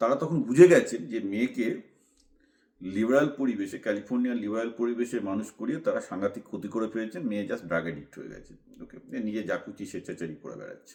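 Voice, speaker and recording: With a dark, mellow tone and medium pitch, a man speaks with lively intonation and big swings in loudness. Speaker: commentator / vlogger. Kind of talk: monologue commentary.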